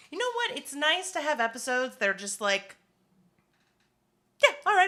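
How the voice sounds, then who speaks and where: A woman speaks in a raised, projected voice pitched high, with a bright, sharp tone, very wide pitch swings, big swings in loudness and a moderate pace. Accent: American. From Alabama, US South. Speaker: podcast co-host. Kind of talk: casual chat.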